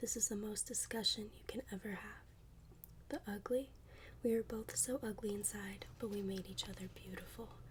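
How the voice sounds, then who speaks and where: A soft-spoken woman whispers at a moderate pace. Her tone is gentle. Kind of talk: poetry reading. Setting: close-mic ASMR recording. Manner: soft-spoken, gentle, whispery.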